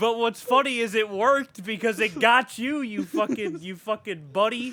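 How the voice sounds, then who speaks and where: The voice is raised and projected, with ordinary pitch variation and a moderate pace, over noticeable background noise. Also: man, high pitch for a man. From Mexican heritage. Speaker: podcast host. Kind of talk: casual chat. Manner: animated.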